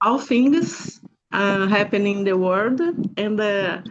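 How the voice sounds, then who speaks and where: A woman speaks at a medium pitch with a Brazilian Portuguese accent. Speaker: group session participant. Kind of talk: personal introduction. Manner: halting.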